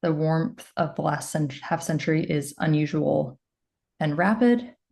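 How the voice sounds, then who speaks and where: Vocal fry runs through a woman's fairly low voice with a dark, mellow tone. She speaks at a fairly slow pace. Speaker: epidemiologist, professor. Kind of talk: lecture. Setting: video call. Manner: loud.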